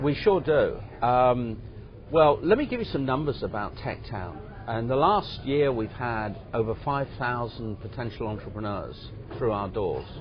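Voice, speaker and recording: A man with an English accent speaks at a medium pitch and a fairly slow pace. His intonation is lively, and music plays in the background. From England. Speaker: business incubator executive. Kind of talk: interview.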